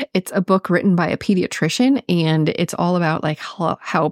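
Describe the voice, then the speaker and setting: A woman with a Minnesotan accent talks at a medium pitch and moderate pace, with ordinary pitch variation and a dry, close sound with no echo. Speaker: registered nurse and health podcast host. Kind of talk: solo health podcast talk. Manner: casual, chatty.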